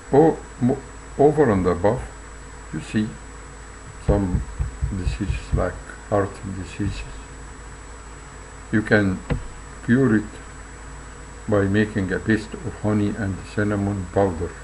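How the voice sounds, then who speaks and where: A fairly slow, fairly low-pitched man's voice with a non-native accent, ordinary pitch variation and long, frequent pauses, over noticeable background noise. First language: not English. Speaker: health video narrator. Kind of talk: reading aloud. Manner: halting.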